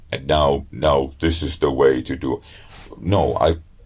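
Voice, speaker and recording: With vocal fry and a very deep, low pitch, a man speaks at a very slow pace. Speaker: a cappella bass singer and beatboxer. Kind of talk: interview answer. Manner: hesitant, many fillers and repeats.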